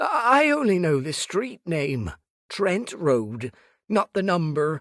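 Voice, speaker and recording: Using a put-on character voice, a man talks very slowly in a high pitch, his nervous tone marked by very wide pitch swings. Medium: read story. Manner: nervous, flustered, stammering.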